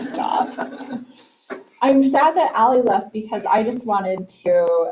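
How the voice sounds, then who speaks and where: A woman speaks loudly and very slowly at a high pitch, her intonation lively amid noticeable background noise. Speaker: school board member. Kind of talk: board meeting report. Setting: public board meeting.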